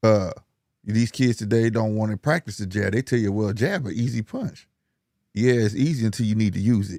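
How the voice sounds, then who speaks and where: This man has an unremarkable speaking voice, fairly low in pitch with ordinary variation. He talks at a fairly quick pace, and the sound is dry and close with no echo. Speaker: boxing podcaster. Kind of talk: casual chat.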